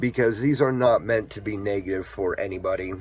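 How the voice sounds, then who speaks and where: A man's fairly low, somewhat breathy voice. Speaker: vlogger with epilepsy. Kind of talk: casual vlog talk. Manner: hesitant, many fillers.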